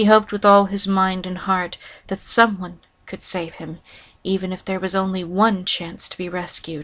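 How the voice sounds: Someone reads text out loud. The reading voice sounds natural.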